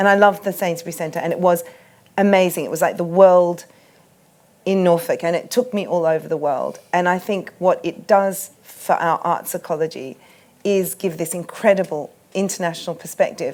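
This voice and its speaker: A woman with an Australian accent talks with fairly even intonation. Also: medium pitch for a woman, moderate pace. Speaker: art curator. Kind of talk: panel discussion. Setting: festival tent with audience.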